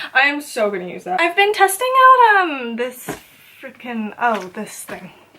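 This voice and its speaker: Against noticeable background noise, a woman speaks in a raised, projected voice at a high pitch and fairly slow pace, with very wide pitch swings and big swings in loudness. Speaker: beauty youtuber. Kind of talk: makeup tutorial intro. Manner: playful, silly.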